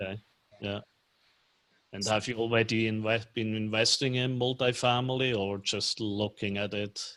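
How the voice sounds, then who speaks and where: A fairly low-pitched man speaks at a moderate pace in a monotone, flat delivery. He leaves long, frequent pauses. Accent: Swiss German. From Switzerland, German-speaking part (Lucerne). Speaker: commercial real estate financier. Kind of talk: casual chat. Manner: halting, many fillers.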